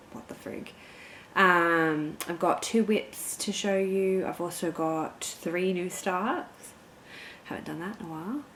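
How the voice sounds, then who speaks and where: Very slow and with big swings in loudness, a woman speaks with an Australian accent at a medium pitch and ordinary pitch variation. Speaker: cross-stitch vlogger. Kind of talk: casual vlog chat. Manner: animated.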